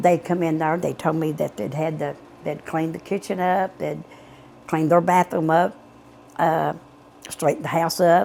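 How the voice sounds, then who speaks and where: At a moderate pace and a fairly low pitch, a woman speaks with vocal fry, fairly even intonation and long, frequent pauses. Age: 70s. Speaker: mother of missing men. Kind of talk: interview testimony. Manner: halting.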